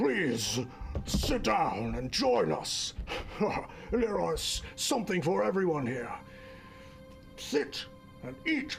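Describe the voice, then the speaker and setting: A put-on character voice at a very slow pace over clear background music. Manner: gluttonous, mouth full.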